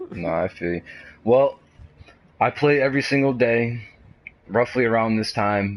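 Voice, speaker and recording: A man speaks with a Boston accent at a moderate pace. His pitch varies in an ordinary way. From Boston, Massachusetts. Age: 20s. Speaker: gamer. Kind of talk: casual chat.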